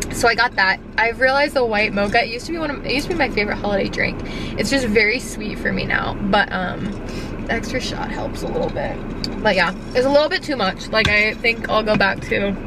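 Speech comes at a very fast pace with ordinary pitch variation. The sound is dry with no echo, and background noise is noticeable. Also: woman. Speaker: vlogger. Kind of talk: casual vlog chat. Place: car. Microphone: phone near.

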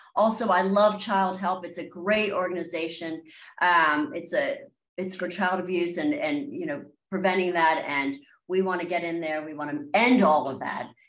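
A woman in an American accent, fairly low in pitch with ordinary pitch variation, at a moderate pace with big swings in loudness, against a quiet background with audible room echo. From Maryland, near Washington D.C; Maryland. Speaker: country singer-songwriter; guest. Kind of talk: interview. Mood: warm, enthusiastic. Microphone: video call.

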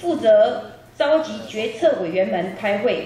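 A woman's fairly high voice moves through very wide pitch swings. Audible room echo and light background noise are present. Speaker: event host. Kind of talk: press conference emcee speech. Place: hall.

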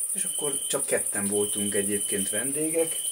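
Amid clear background noise, the voice goes along rather slowly. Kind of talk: casual storytelling at table. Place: garden. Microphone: camera far.

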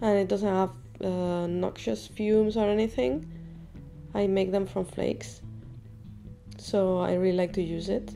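Over music in the background, a woman speaks with long, frequent pauses. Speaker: enamel artist. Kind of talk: craft tutorial narration.

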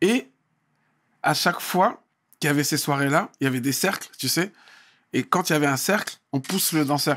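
A fairly high-pitched man at a moderate pace, with ordinary pitch variation and long, frequent pauses. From France, Val-d'Oise (Paris suburbs); France. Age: 40s. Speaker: dancer and choreographer; guest, MC. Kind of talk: casual interview. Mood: relaxed, reminiscing. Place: studio. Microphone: studio mic.

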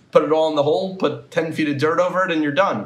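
Room echo is audible in the recording. The man talks fairly quickly. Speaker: podcast interviewer. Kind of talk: interview questions. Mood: casual, opinionated. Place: home room. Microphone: earbuds.

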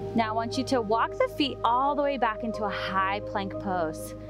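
A woman speaks in a dry room with no echo while music plays clearly in the background. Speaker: yoga instructor. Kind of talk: tutorial. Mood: calm, encouraging. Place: beach. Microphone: headset.

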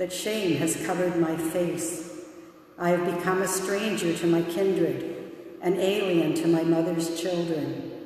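In a room with strong echo, a woman speaks at a fairly slow pace. Her fairly low voice is monotone and flat. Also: very even loudness. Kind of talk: scripture reading. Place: church.

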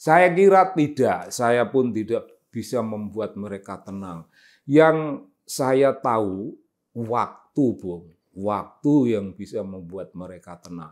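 Against a quiet background, a man at medium pitch speaks at a very slow pace, with very wide pitch swings and big swings in loudness. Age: 70s. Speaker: political commentator. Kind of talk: monologue commentary. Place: office.

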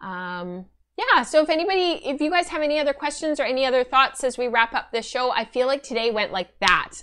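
Speaking at a fairly quick pace, a woman has a high pitch, a bright, sharp tone and lively intonation. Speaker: knitting and spinning podcast host; spinning podcaster. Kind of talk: casual chat. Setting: live stream. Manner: fast talker. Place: home room.

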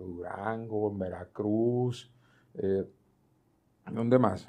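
With ordinary pitch variation, the words come out at a very slow pace. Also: man. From Mexico. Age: 60s. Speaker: retired school choir director; guest. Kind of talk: interview. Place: home room. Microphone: lapel.

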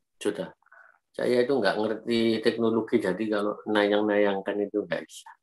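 A quiet background, a moderate pace and fairly even intonation. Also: man, fairly low pitch for a man. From Indonesia. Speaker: biology lecturer. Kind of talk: webinar lecture. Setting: video call. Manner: casual. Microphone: video call.

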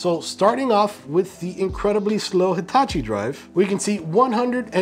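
A man talks while music plays in the background. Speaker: PC tech YouTuber. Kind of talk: tech tutorial talk to camera. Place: studio.

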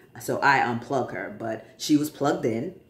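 Audible room echo follows a man who talks at a fairly slow pace. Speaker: vlogger sharing transition update. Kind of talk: casual personal vlog. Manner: conversational, with fillers. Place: home room. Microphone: phone near.

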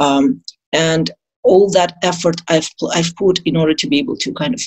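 A woman's very deep, low voice at a moderate pace, with a quiet background. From Azerbaijan, Baku; Azerbaijan. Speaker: dentist; interview guest. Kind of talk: interview. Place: home room. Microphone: video call.

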